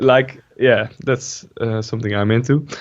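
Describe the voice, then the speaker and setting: A man with a Dutch accent. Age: 20s. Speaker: gaming YouTuber. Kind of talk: casual interview.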